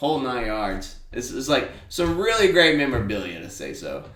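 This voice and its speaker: Male speech at a middling speed, in a room with audible echo and clear background noise. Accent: American. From small-town Alabama. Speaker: podcast host. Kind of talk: casual monologue. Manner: casual, filler-heavy.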